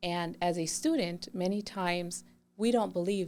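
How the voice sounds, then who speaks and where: Speaking at a fairly slow pace and fairly low pitch, a woman with a Spanish accent comes through on a very clean recording with a silent background. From Mexico (Chihuahua), raised in San Diego area from age 8. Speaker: adult school assistant principal. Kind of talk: podcast interview. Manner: enthusiastic.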